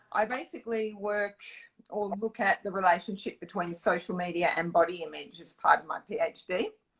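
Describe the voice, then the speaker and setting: A woman with an Australian accent, a bright, sharp tone and a moderate pace. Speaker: dietitian and zine creator. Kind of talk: interview.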